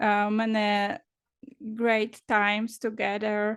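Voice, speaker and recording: Against a quiet background, a woman with a Polish accent and a fairly high pitch talks at a very slow pace. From Poland. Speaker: confidence coach. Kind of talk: interview. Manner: halting, many fillers.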